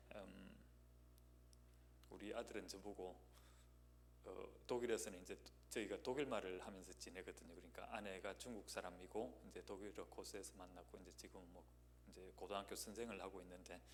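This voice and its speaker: A man's very deep, low voice in a Gyeongsang accent, fairly quick yet broken by long, frequent pauses, with very wide pitch swings, vocal fry and audible room echo. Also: big swings in loudness. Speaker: guest pastor. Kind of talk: sermon introduction, casual personal remarks. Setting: church. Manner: hesitant, many fillers.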